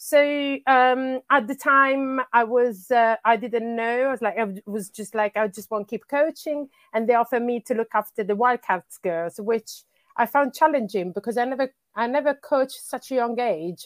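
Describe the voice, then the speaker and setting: A woman with an Italian accent speaks at a high pitch and a moderate pace, with ordinary pitch variation. The sound is dry and close, with no echo. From Italy. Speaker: youth football coach. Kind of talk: interview. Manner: halting.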